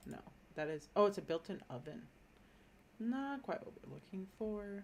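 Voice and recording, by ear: A woman speaks slowly at a fairly low pitch, her voice swinging widely up and down. Vocal fry runs through her words.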